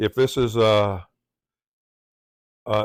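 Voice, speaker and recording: In a Southern US accent, a man speaks with fairly low pitch and monotone, flat intonation, in a dry, close sound with no echo on a very clean recording with a silent background. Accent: Southern US accent, drawl. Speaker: tech tutorial presenter. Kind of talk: tutorial.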